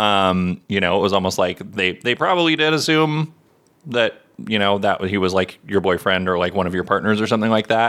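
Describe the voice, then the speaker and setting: Using a normal speaking voice, a man talks at a fairly quick pace and a fairly low pitch, his intonation lively and his loudness very even. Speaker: podcast co-host. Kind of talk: casual chat.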